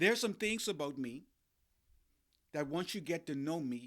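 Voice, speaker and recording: A man with a Bahamian accent speaks at a moderate pace and fairly high pitch, his tone animated, bright and sharp. The recording is very clean, with a silent background. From Bahamas. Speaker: life coach and podcast host. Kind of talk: motivational podcast monologue.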